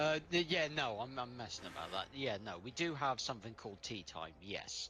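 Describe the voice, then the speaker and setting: Using a Welsh accent, a man at a medium pitch speaks at a moderate pace with very wide pitch swings and a bright, sharp tone. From Wales. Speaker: online gamer playing a train simulator. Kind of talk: casual chat during multiplayer game.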